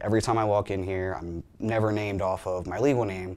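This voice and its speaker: A central Pennsylvania accent marks this fairly quick delivery with fairly even intonation. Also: man. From Hanover, Pennsylvania. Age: 20s. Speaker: patient testimonial speaker. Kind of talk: testimony.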